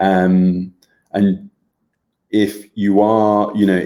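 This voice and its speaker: The man's voice has a fairly low pitch and a dark, mellow tone. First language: German. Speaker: health group co-host. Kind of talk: casual chat, live stream. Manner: hesitant, many fillers.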